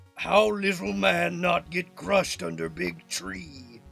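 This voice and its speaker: A man's raspy, put-on character voice at a fairly slow pace. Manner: slow, dim, broken-speech brute.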